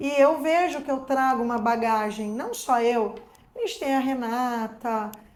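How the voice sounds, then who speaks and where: A woman with a high-pitched voice talks at a fairly slow pace in a room with audible echo. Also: ordinary pitch variation. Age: 50s. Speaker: dental prosthesis technician and teacher. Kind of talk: casual chat.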